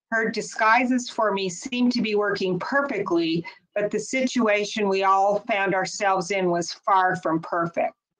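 Against a quiet background, a woman talks fairly slowly at a medium pitch with ordinary pitch variation. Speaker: author's daughter reading. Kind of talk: memoir reading aloud. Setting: webinar. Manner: measured, earnest narration. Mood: somber, dramatic storytelling. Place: home room. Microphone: video call.

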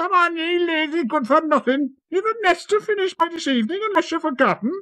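A female-sounding put-on character voice, extremely high in pitch, at a fairly quick pace. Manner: scolding, bossy.

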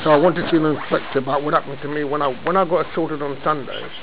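Over noticeable background noise, a man speaks at a very fast pace in a monotone, flat intonation. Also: fairly high pitch for a man. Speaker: member of the public at a police front desk. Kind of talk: argumentative complaint to an officer. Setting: police station front counter. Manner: loud. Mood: aggrieved, insistent. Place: office. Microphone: phone near.

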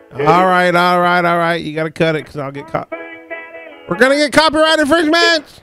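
A man's high voice at a very fast pace, with very wide pitch swings and big swings in loudness, faint music in the background and a dry sound with no echo. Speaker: podcast host. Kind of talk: casual talk radio. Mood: joking, laughing. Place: studio. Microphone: studio mic.

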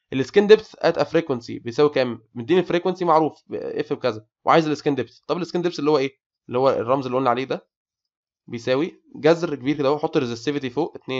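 A very fast man's voice in an Egyptian accent, fairly high in pitch with ordinary pitch variation, against a quiet background. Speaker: engineering tutor. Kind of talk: lecture. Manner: animated.

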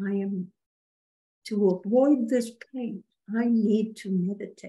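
A woman speaks at a very slow pace in a dark, mellow, somewhat breathy tone. Her intonation is fairly even, and the background is quiet. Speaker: spiritual medium channeling a spirit guide. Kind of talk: channeled spiritual guidance session. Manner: formal. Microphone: video call.

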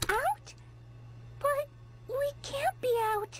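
Someone uses a put-on character voice. Light background noise can be heard. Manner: sweet, turning accusing.

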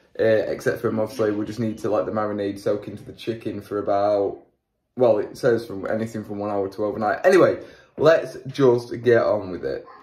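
The voice is somewhat breathy, moving at a fairly quick pace with fairly even intonation. Room echo is audible. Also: man. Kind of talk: tutorial. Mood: relaxed, self-deprecating. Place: kitchen. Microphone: lapel.

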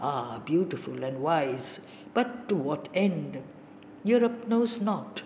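Fairly low in pitch, a woman speaks at a very slow pace with very wide pitch swings. Noticeable background noise is present. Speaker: audiobook narrator. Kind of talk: poetry audiobook reading, solemn and literary. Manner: slow, measured, and reverent; steady, contemplative cadence with long pauses between stanzas.

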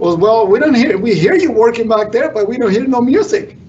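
A man with a Mexican accent speaks in a high voice with lively intonation over light background noise. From Mexico. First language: Spanish. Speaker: construction superintendent. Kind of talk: panel discussion. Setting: live panel in a room, streamed online. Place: studio.

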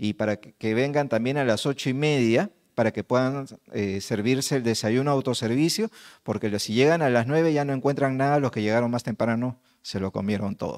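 A man at a fairly quick pace, with ordinary pitch variation and a quiet background. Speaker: event organizer, MC; MC. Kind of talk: event welcome. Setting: conference hall with audience. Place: hall. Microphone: handheld.

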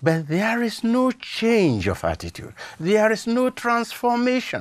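A man talks at a fairly slow pace over a quiet background. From Nigeria. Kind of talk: studio interview on faith and culture. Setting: studio. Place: studio. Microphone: lapel.

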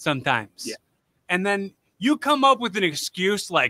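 A raised, projected voice with a bright, sharp tone moves at a moderate pace with lively intonation. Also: man, quiet background, dry sound with no echo. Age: 30s. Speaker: podcast host and amateur pro wrestler. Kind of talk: casual interview chat. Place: home room. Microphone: studio mic.

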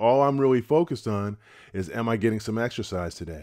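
A man talks fairly quickly with lively intonation, the background quiet. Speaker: retirement channel host. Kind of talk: casual advice talk to camera. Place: home room. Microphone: studio mic.

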